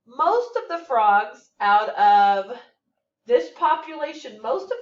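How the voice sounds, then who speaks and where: A woman speaks with a high pitch and an American accent. Her pitch swings very widely. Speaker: math teacher. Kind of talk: tutorial.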